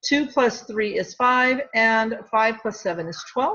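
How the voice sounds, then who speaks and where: A plain, everyday voice belongs to a woman speaking at a fairly high pitch. She goes at a fairly slow pace with lively intonation. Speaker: middle school math teacher. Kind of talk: tutorial.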